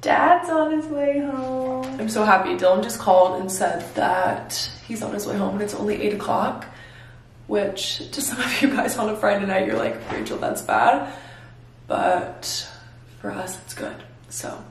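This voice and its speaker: The speech comes at a fairly slow pace, with light background noise and audible room echo. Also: woman, big swings in loudness. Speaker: lifestyle vlogger. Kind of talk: casual vlog chat. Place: home room. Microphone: phone near.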